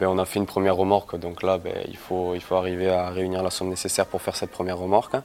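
Over noticeable background noise, a man talks very fast in a very deep, low register. His intonation stays monotone and flat. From southern France (Castelnaudary, Aude). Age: 20s. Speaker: company co-founder. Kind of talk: interview.

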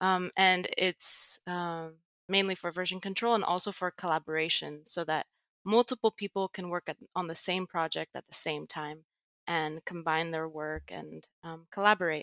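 In a very clean, dry and close recording with no echo and a silent background, a woman speaks at a fairly low pitch in a bright, sharp tone, her intonation fairly even but her loudness swinging widely. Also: moderate pace. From Netherlands, Greek family, international school. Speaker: tech writer and Git educator. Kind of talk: interview.

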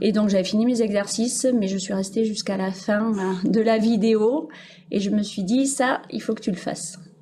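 There is audible room echo as a woman speaks at a moderate pace with a fairly high pitch and fairly even intonation. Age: 40s. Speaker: primary school teacher. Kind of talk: casual interview.

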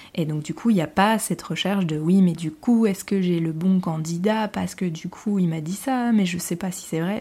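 This woman's voice is fairly low, somewhat breathy and dark and mellow in tone. She keeps a moderate pace with ordinary pitch variation. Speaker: podcast host and business owner. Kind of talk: solo podcast monologue. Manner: hesitant, many fillers. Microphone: new podcast equipment, improved sound.

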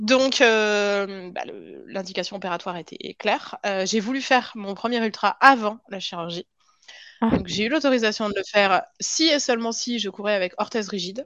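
Over a quiet background, a woman speaks at a fairly high pitch and moderate pace, with ordinary pitch variation and big swings in loudness. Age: 30s. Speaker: cardiac surgeon turned pharma industry worker. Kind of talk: interview testimony. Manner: halting, frequent repetitions.

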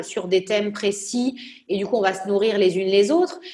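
A woman talks at a fairly slow pace in a medium pitch. Noticeable background noise sits behind her voice. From southern France, Nice. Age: 30s. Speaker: entrepreneur. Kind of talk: interview.

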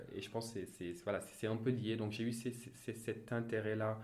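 A man talks fairly slowly, his voice carrying audible room echo. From Senegal (Thiès). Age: 30s. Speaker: audit and finance manager. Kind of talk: interview. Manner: halting, many repetitions and fillers.

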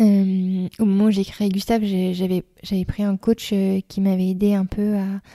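A woman speaks at a very slow pace in a dark, mellow tone. The sound is dry and close with no echo, on a very clean recording with a silent background. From eastern France, Reims. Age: 30s. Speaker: school founder and director. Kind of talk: interview. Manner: hesitant, many fillers.

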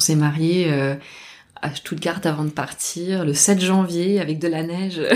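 An unremarkable speaking voice from a woman, fairly low-pitched, with fairly even intonation at a fairly slow pace. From southern France (Albi, near Toulouse). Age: 30s. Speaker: former researcher turned horticulture apprentice. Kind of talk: interview conversation. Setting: in person at a table, at host's home.

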